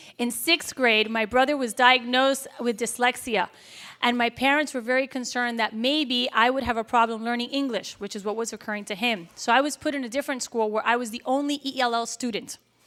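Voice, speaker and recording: A woman speaks at a fairly quick pace with hardly any pauses, her high-pitched voice bright and sharp in tone. Her intonation stays fairly even, and the recording is very clean with a silent background. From Miami, Florida (Cuban-American family). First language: Spanish. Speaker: school board member. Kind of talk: speech.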